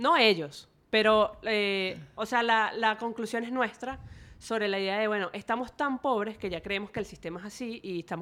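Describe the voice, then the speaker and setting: At a moderate pace and medium pitch, a woman with an unremarkable speaking voice talks on a very clean recording with a silent background. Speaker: youth researcher. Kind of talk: casual interview chat.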